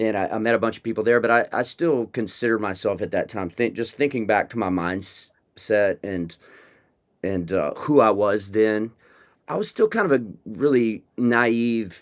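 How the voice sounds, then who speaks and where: In a very clean recording with a silent background, a man with an American accent talks at a moderate pace, his medium pitch moving with ordinary variation. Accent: Texan twang, comes and goes. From West Texas, small town. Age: 40s. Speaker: rock band frontman. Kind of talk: interview conversation. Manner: halting, many restarts and fillers.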